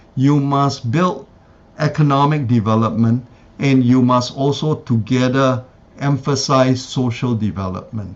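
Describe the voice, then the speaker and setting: A man speaks in an ordinary speaking voice at medium pitch, keeping a fairly slow pace with ordinary pitch variation. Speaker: conference speaker. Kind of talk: academic presentation and Q&A. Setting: symposium with live interpreter.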